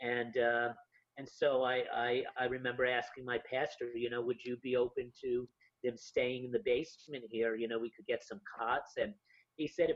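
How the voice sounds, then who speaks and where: At a moderate pace, a man with a medium pitch talks with fairly even intonation. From Yonkers, New York, US. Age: 50s. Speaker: homeless ministry founder. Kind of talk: interview storytelling. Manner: halting, many fillers.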